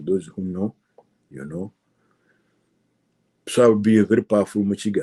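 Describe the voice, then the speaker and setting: A man with a Ugandan accent speaks in a dark, mellow tone at a fairly low pitch. His delivery has a moderate pace and ordinary pitch variation, with a dry, close sound and no echo. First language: Luganda. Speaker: political commentator. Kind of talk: political monologue. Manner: impassioned.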